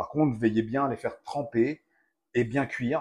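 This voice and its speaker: Keeping a moderate pace, a man talks at medium pitch with monotone, flat intonation. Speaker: cooking video host. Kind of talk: casual cooking tutorial.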